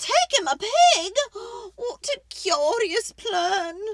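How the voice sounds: At a very slow pace, a woman puts on a character voice at an extremely high pitch with big pitch swings.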